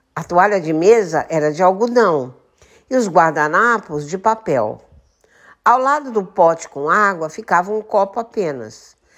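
A woman's medium-pitched voice at a fairly slow pace, with very wide pitch swings, on a very clean recording with a silent background. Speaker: podcaster and retired teacher. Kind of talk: reading aloud. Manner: declamatory.

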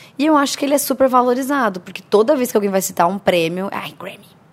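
Over noticeable background noise, a woman with a fairly high pitch talks very fast with lively intonation. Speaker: youtuber. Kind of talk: casual chat.

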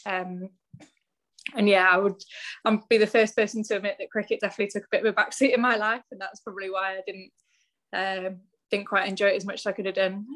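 In a West Country accent, a woman talks very fast at a medium pitch with monotone, flat intonation and long, frequent pauses. Her loudness swings widely, and the recording is very clean with a silent background. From West Country, Bristol. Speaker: professional cricketer. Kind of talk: interview.

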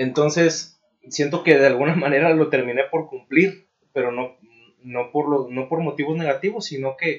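A man speaks at a fairly slow pace with a Mexican accent. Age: 20s. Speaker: civil engineer and blogger. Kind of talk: casual interview. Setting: recording studio.

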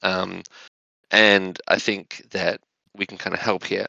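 A man speaking at a very slow pace, dry and close with no echo, against a quiet background. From Australia. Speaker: governance tool presenter.

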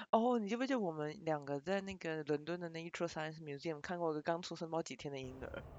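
Speaking at a very fast pace with hardly any pauses, a woman uses a fairly low pitch and ordinary pitch variation. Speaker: podcast co-host. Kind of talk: casual chat.

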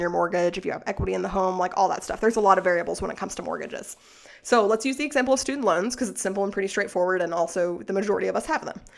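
With an American accent and vocal fry, a woman talks at a very fast pace, her medium pitch showing ordinary variation. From Arkansas, US South. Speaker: podcast host, financial educator. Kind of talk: solo podcast monologue. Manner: casual, filler-heavy.

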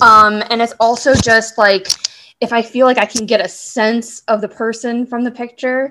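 In a very clean recording with a silent background, a woman with an American accent speaks at a fairly slow pace in a fairly high, bright, sharp tone with monotone, flat intonation. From Southern California. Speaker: casting director. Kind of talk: interview.

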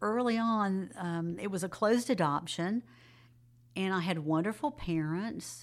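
A woman speaks at a medium pitch with ordinary pitch variation and an unremarkable speaking voice. The recording is very clean, with a silent background. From Jacksonville, Florida. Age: 60s. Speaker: retired school counselor, adoptee. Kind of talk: interview, personal testimony.

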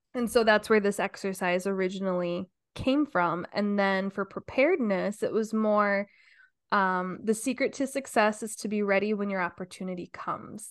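Against a quiet background, a woman with a normal speaking voice speaks at a medium pitch and moderate pace, with ordinary pitch variation. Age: 30s. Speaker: podcast co-host. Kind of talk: casual chat.

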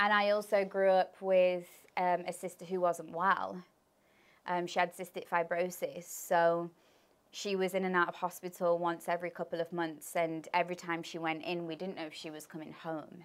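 A woman with an English Midlands accent speaks at a fairly low pitch and moderate pace, in a monotone, flat manner. Her loudness swings widely on a very clean recording with a silent background. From English Midlands (Birmingham, then Leicester). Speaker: spiritual coach. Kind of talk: interview.

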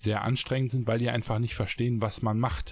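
The man's intonation remains fairly even. His words come at a very fast pace. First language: not German (speaking German). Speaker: podcast co-host, entrepreneur. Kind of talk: casual chat. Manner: hesitant, many fillers.

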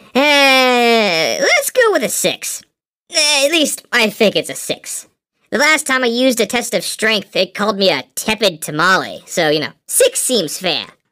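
A woman speaks at a fairly slow pace in a fairly high pitch. Her pitch swings are very wide. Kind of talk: comic banter. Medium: comedy sketch.

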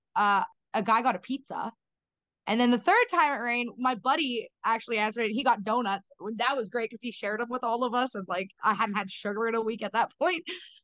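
In a bright, sharp tone and a fairly high pitch, a woman speaks at a very fast pace with ordinary pitch variation, the sound dry and close with no echo. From Canada. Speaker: reality show contestant. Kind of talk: casual interview.

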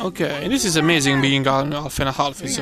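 A man's fairly high voice in an Italian accent, at a fairly quick pace, with noticeable background noise. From Italy. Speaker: podcast host. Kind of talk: casual chat. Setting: outdoors. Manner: animated.

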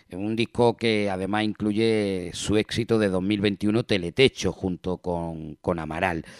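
A man speaks at a very slow pace with hardly any pauses. The sound is dry and close, with no echo. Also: fairly even intonation. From Spain, Granada area. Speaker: radio music show host. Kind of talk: radio presenting. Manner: casual, repetitive filler words.

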